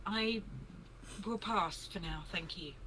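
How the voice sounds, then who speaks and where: A female-sounding, put-on character voice over loud background noise. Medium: actual play. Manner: polite, reserved.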